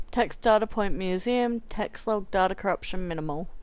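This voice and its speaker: The speaker has an Australian accent and an ordinary amount of pitch variation. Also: woman. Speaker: video game streamer. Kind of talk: live gameplay commentary. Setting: home, far from the TV. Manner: casual, halting while reading.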